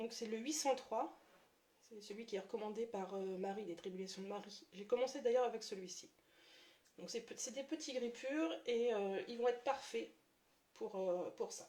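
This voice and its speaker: A woman's voice is fairly high but dark and mellow in tone. She keeps a moderate pace with long, frequent pauses. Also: ordinary pitch variation. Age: 30s. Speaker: watercolour artist and graphic designer. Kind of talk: tutorial. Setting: live stream. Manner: hesitant, many fillers.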